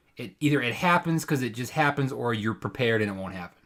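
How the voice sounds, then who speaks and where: Over a very clean recording with a silent background, a man speaks in an animated tone with very wide pitch swings. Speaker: theatre actor and podcast co-host. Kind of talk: casual chat.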